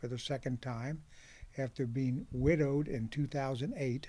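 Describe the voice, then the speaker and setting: A man with a US Midwestern accent at a moderate pace, fairly high in pitch with fairly even intonation, on a very clean recording with a silent background. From Ohio, Hamilton County (Cincinnati area). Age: 70s. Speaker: farmer. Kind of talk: oral history interview. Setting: outdoors on a back porch.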